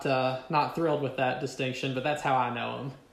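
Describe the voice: A man with a Kentucky accent speaks at a fairly quick pace with little pitch movement and vocal fry. His medium-pitched voice carries audible room echo. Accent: Kentucky Southern American.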